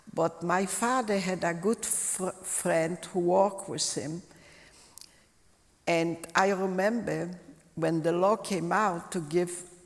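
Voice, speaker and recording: Over noticeable background noise, a woman speaks very slowly at a fairly low pitch with fairly even intonation. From Lodz, Poland. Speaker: Holocaust survivor. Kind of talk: interview answer.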